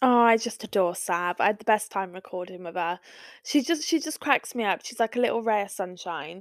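In a dry, close sound with no echo, a woman talks at a fairly quick pace. She has a plain, everyday voice, a fairly high pitch and lively intonation. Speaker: podcast host. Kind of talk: casual chat.

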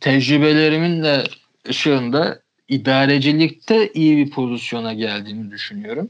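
At a moderate pace, a man with a fairly high pitch and lively intonation talks in an unremarkable speaking voice. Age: 20s. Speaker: magazine founder. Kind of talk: casual chat.

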